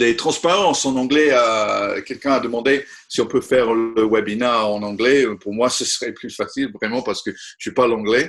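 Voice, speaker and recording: A man talks with a non-native accent. His pace is moderate and his pitch medium. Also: ordinary pitch variation, hardly any pauses. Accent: non-native French, apologizes for his French. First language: not French (speaking French). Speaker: conservation technology expert. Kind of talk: webinar presentation. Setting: online webinar. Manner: halting, frequent hesitations.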